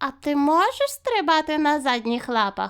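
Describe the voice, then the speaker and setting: A woman does a put-on character voice at a high pitch. She keeps a moderate pace. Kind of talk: children's story reading. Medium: read story. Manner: teasing, lively.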